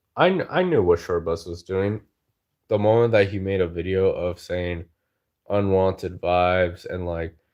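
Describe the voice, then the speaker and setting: A man's voice, very deep and low in pitch, moves at a moderate pace. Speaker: livestreamer. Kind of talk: casual chat. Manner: animated.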